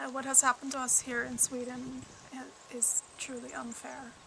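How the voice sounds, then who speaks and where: This woman talks at a fairly slow pace. There is noticeable background noise. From Canada. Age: 30s. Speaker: mother appealing for support. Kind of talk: personal testimony.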